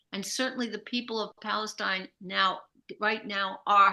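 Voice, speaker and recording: A woman's fairly high, bright, sharp voice at a fairly slow pace, with fairly even intonation over a quiet background. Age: 80s+. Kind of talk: interview answer.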